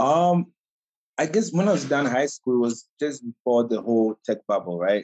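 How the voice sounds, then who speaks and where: A man talks with a Ghanaian accent at a moderate pace. His loudness stays very even while his pitch swings very widely. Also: medium pitch for a man. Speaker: chef and caterer. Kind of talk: casual interview.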